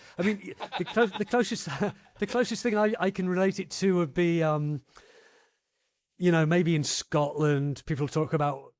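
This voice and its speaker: A man speaks at a high pitch and a moderate pace. He leaves long, frequent pauses, and the recording is very clean with a silent background. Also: ordinary pitch variation. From English Midlands. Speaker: podcast host. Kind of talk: interview conversation.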